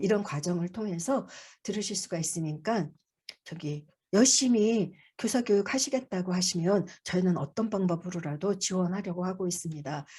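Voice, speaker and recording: Medium-pitched, somewhat breathy woman's voice with a dark, mellow tone and ordinary pitch variation, over a quiet background. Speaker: childcare support center director presenting. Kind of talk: online briefing presentation. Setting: video call. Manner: fast.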